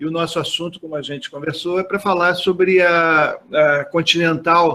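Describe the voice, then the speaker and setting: Keeping a monotone, flat intonation, a man speaks at a moderate pace with a high pitch. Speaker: journalist interviewer. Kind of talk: interview question.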